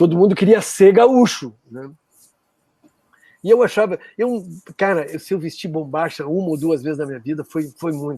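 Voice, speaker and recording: Pausing long and often, a high-pitched man speaks at a moderate pace in a dark, mellow tone with lively intonation. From Brazil, interior of Rio Grande do Sul (border region). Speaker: musician. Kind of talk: interview, casual reminiscing. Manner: halting, with frequent fillers and restarts.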